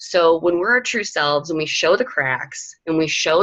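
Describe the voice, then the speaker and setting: With lively intonation, a woman talks at a fairly low pitch. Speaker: fitness coaching team leader. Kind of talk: motivational team call talk. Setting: conference call. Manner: fast.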